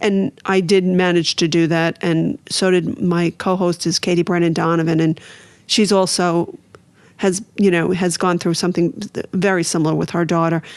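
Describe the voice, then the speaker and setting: Speaking with a Brooklyn accent at a moderate pace, this voice keeps its intonation fairly even. The loudness stays very even throughout. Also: woman, fairly low pitch for a woman. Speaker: author and recovery advocate. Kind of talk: podcast interview.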